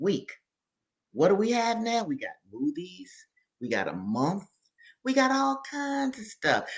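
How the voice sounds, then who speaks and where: A woman at medium pitch and fairly slow pace, with very wide pitch swings. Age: 70s. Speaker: activist and scholar. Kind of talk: interview. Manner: animated.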